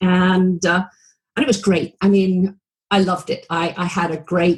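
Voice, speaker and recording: At a moderate pace, a woman speaks in a British accent. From England. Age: 70s. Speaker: retired anesthesiologist turned video marketer. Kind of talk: interview. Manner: bubbly.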